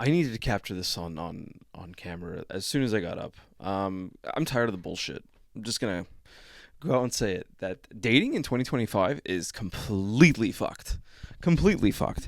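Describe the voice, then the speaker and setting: A man's put-on character voice, raspy and at medium pitch, with lively intonation, big swings in loudness, and a fairly quick pace, in a very clean recording with a silent background. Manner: frustrated, ranting.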